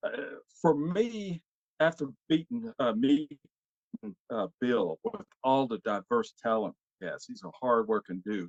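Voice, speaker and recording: In a Southern US accent, the speaker talks at a fairly slow pace with long, frequent pauses and very wide pitch swings. The sound is dry and close, with no echo. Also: man, fairly high pitch for a man. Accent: US South. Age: 60s. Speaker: actor. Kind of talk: casual chat. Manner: halting.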